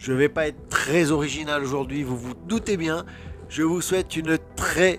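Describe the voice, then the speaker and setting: A man's fairly high voice comes through while music plays in the background. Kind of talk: casual vlog talk to camera.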